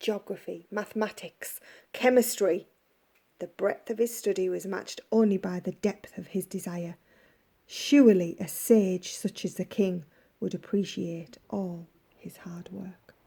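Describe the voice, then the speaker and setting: A woman with a medium pitch and a dark, mellow tone speaks at a fairly slow pace, somewhat breathy and in a calm, gentle tone, with fairly even intonation and big swings in loudness. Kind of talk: bedtime story reading.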